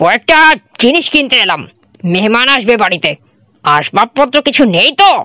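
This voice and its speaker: A woman puts on a character voice, pitched high with very wide swings. The sound is dry and close, without echo. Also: moderate pace. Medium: read story. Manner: jovial, charming.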